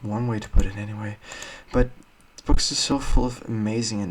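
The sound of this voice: Unforced reading voice, heard on its own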